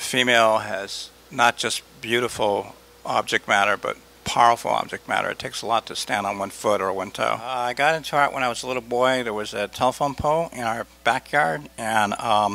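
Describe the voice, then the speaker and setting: A man with an American accent speaks at a moderate pace. His tone is bright and sharp, yet relaxed. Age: 60s. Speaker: artist. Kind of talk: interview. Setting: art gallery. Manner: relaxed, with frequent fillers.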